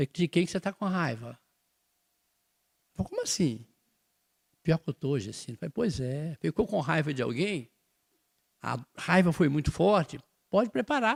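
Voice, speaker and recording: In a dry, close sound with no echo, a man with a fairly high voice speaks at a moderate pace, making very wide pitch swings and long, frequent pauses. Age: 70s. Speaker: spiritist study leader. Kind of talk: religious study talk. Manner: conversational.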